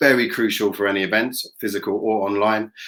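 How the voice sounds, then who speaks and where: A bright, sharp tone with a British accent at a moderate pace, on a very clean recording with a silent background. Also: man. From England. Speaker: event tech company representative. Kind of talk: product presentation.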